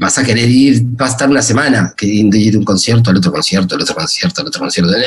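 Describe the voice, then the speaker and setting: This man talks at a medium pitch. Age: 40s. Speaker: music streaming company executive. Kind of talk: interview. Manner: halting, many repetitions and fillers.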